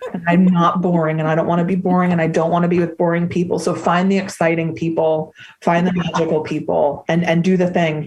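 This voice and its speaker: A woman's very fast, very evenly loud delivery with hardly any pauses. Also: fairly low pitch for a woman. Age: 30s. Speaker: podcast guest, eating disorder recovery advocate. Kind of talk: casual chat. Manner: animated.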